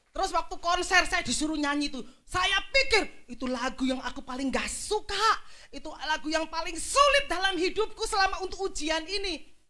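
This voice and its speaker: Over audible room echo, a woman speaks in a raised, projected voice at an extremely high pitch, with a bright, sharp tone, very wide pitch swings, and a fairly quick pace. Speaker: pastor. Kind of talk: sermon.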